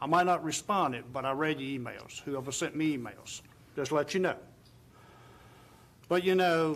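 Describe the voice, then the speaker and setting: On a very clean recording with a silent background, a man with a Virginia accent speaks at a moderate pace in a fairly high pitch, with ordinary pitch variation and long, frequent pauses. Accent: southern US (Virginia). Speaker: town council member. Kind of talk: council meeting remarks. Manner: soft-spoken.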